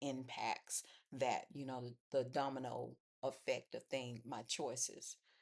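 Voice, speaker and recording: Very slowly, a woman speaks in a strained, very deep, low voice with fairly even intonation. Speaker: faith vlogger. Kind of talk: personal testimony monologue. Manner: low, restrained pitch; halting with fillers.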